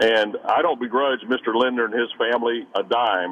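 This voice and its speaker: A man's speech comes at a moderate pace, with noticeable noise in the background. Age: 60s. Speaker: caller, Vietnam veteran. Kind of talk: call-in opinion. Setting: phone call.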